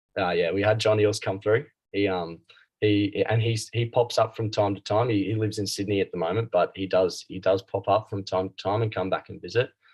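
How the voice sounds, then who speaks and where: With an Australian accent, a man speaks in a fairly low, somewhat breathy voice with fairly even intonation against a quiet background. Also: fairly quick pace. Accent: Australian, noticeable. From Australia, Brisbane. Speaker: club rugby player. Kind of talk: interview. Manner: halting, many fillers.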